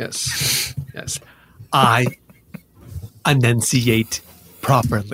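A man's put-on character voice at medium pitch, fairly bright in tone with a slightly husky edge, very slow in pace, with fairly even intonation and a dry, close sound without echo

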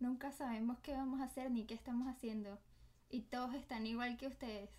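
A woman speaks at a high pitch and a fairly quick pace. Her tone is dark and mellow, her intonation fairly even. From Venezuela. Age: 20s. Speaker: doctor. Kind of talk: casual chat.

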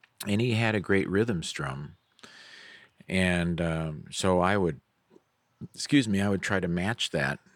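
Very deep, low male voice at a fairly slow pace, ordinary pitch variation and long, frequent pauses, on a very clean recording with a silent background. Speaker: musician and ukulele teacher. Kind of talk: casual interview. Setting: outdoors on a golf cart. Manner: halting, many fillers.

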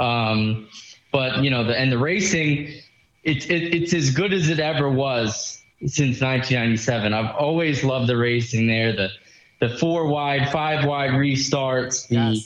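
A man talks at a fairly slow pace in an ordinary speaking voice with a medium pitch. His loudness stays very even, with ordinary pitch variation. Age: 20s. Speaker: listener and racing fan. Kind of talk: casual chat. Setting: phone call.

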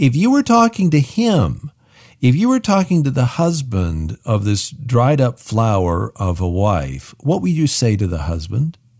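In a somewhat breathy voice of medium pitch, a man speaks at a fairly slow pace with very wide pitch swings over a quiet background. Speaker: radio co-host. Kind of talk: radio show hosting. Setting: studio.

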